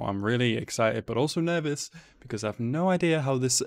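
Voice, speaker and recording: A man speaks at a fairly quick pace. His pitch variation is ordinary. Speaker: anime reaction youtuber. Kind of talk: casual vlog chat. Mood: excited and nervous. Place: home room.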